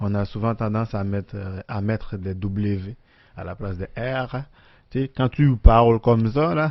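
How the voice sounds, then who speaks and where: A man's fairly low voice with a Haitian accent, ordinary pitch variation and big swings in loudness, at a fairly slow pace. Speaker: podcast co-host. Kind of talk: casual chat. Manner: rolls his R's more in the podcast.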